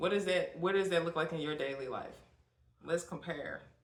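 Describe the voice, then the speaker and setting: A woman speaks at a fairly low pitch with ordinary pitch variation, and audible room echo surrounds her voice. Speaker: podcast host and poet. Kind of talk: casual chat. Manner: soft-spoken.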